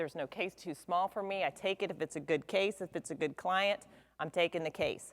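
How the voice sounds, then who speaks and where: A woman speaks at a medium pitch and a fairly quick pace, with fairly even intonation. The recording is very clean, with a silent background. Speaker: insurance attorney. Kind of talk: seminar presentation. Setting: stage with audience. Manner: loud.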